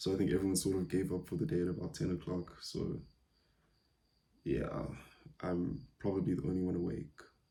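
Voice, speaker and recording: Soft-spoken and very deep, low in pitch, a man talks at a fairly quick pace with a dark, mellow tone, vocal fry, ordinary pitch variation and long, frequent pauses. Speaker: podcaster, data science company founder. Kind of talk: casual solo podcast. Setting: at home late at night during power outage. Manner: quiet, soft-spoken; hesitant, many fillers.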